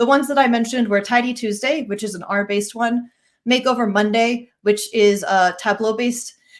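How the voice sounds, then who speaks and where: A woman speaks at a fairly quick pace with a fairly high pitch. Her intonation stays fairly even. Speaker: data analyst. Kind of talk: conference talk. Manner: fast.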